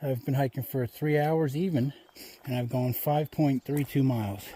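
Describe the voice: Someone speaks at a slow pace with a slightly husky edge. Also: man.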